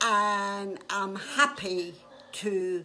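A woman's voice has a bright, sharp tone over light background noise. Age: 80s+. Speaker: elderly woman giving a message. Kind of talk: casual interview answer. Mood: warm, cheerful. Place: home room. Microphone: phone near.

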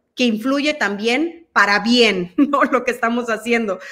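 The tone of this woman's voice is bright and sharp. Behind her, the background is quiet. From El Salvador. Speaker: guest commentator. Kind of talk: interview Q&A. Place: home room.

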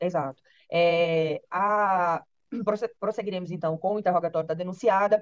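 A woman speaks at a moderate pace and medium pitch, her intonation fairly even. The background is quiet, and the sound is dry with no echo. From Brazil. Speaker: judge. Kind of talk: court hearing. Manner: formal. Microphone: video call.

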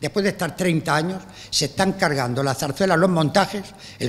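Ordinary in its pitch variation, a man's voice sits high. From Spain, Cartagena (Murcia); Murcia, Spain. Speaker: music director. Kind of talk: press conference speech. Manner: animated. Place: hall. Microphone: podium.

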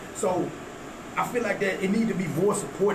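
A man rattles off words at a very fast pace with noticeable background noise around him. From Texas. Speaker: rapper. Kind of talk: casual chat. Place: studio.

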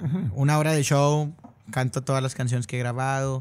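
The intonation here is fairly even. It belongs to a man. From Monterrey, northern Mexico; Mexico. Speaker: regional Mexican singer; guest. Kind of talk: casual interview. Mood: relaxed, friendly. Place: studio. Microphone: studio mic.

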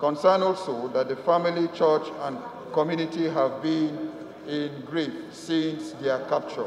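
Noticeable background noise runs under a man speaking at a fairly slow pace. His pitch is fairly high, and his intonation fairly even. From Nigeria, Plateau State. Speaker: legislator. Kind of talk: parliamentary motion. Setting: legislative chamber. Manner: formal.

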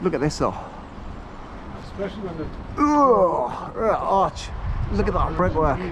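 A man talks at a very slow pace, leaving long, frequent pauses. Noticeable background noise runs behind him. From northern England, Newcastle. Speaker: vlogger. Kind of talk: walking vlog. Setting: outdoors. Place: waterside. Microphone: phone near.

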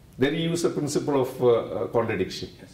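A man speaks in a dark, mellow tone with ordinary pitch variation. Room echo is audible. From India. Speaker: theology professor. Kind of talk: interview explanation. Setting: conference. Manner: halting, with many restarts. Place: meeting room.

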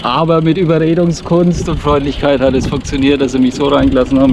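Over noticeable background noise, a man talks at a very fast pace with fairly even intonation, the sound dry with no echo. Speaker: cycling vlogger. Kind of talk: casual vlog chat. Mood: amused, cheerful. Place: bicycle. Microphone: phone near.

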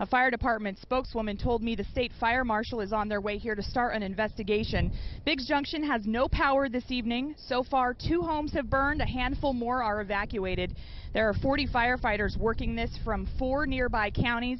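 Over light background noise, a woman with a high pitch talks at a fairly quick pace in a dry sound with no echo. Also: ordinary pitch variation. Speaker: field news reporter. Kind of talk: live news report. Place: street. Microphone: handheld.

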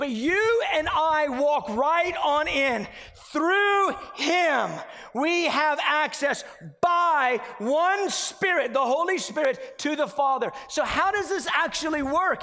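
A man with an extremely high pitch uses a raised, projected voice with a bright, sharp tone. His intonation is lively and his pace very slow. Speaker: preacher. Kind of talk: sermon. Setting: church. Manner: animated; earnest, conversational preaching. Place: church. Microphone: headset.

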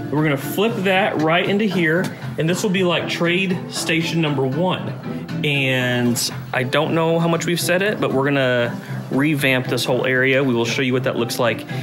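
Music plays in the background as a man talks. His pace is moderate and his pitch varies in an ordinary way. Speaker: game store owner vlogger. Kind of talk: casual vlog chat. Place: shop. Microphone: phone near.

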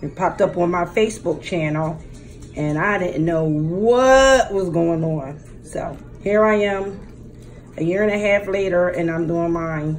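A woman's fairly low voice with ordinary pitch variation, fairly slow pace, and music in the background. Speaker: mukbang vlogger. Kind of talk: casual vlog chat. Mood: warm, a bit nervous. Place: home room. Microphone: phone near.

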